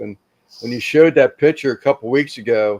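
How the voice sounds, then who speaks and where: Here a man with a normal speaking voice talks at medium pitch with ordinary pitch variation. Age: 60s. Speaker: barbecue grill maker, koi hobbyist. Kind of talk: casual chat.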